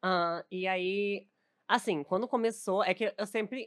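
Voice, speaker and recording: On a very clean recording with a silent background, a woman uses a normal speaking voice at a medium pitch with ordinary pitch variation, the sound dry and close with no echo. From southern Brazil, Novo Hamburgo (Rio Grande do Sul). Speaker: streamer and content creator. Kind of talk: casual chat.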